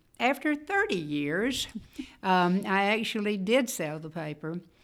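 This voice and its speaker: A woman talks at a moderate pace with a Mississippi accent, her pitch medium. The recording is very clean, with a silent background. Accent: Southern US (Mississippi). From northeast Mississippi, US South. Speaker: retired newspaper executive and community leader. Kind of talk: interview.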